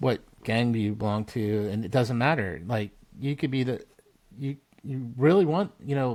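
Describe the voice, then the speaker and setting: Lively intonation marks this man's a normal speaking voice, pitched medium. He keeps a moderate pace. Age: 60s. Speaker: military veteran and blacksmithing business founder. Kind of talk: casual chat. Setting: podcast interview.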